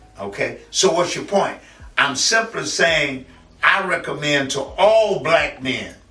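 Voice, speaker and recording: A man with an American accent speaks very slowly at a fairly high pitch, his voice making very wide pitch swings. Audible room echo and noticeable background noise fill the recording. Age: 70s. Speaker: community figure and poet. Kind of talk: interview testimony. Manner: halting, repetitive.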